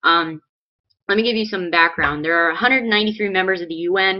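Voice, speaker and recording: A woman speaks very fast with an American accent. Her pitch is medium, with ordinary variation. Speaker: political video blogger. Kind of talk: political commentary vlog.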